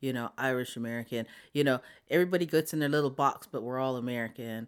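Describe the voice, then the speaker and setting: Her very deep, low voice moves at a fairly quick pace with fairly even intonation as this woman speaks on a very clean recording with a silent background. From South Dakota, reservation. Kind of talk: interview.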